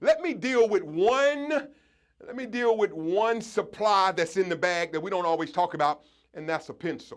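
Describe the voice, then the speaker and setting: In a Southern US accent, a man speaks at a moderate pace in an animated tone, his high pitch swinging very widely. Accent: Southern country. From Georgia, US South. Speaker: pastor, keynote speaker. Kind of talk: motivational speech at awards ceremony. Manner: animated, preacher-like.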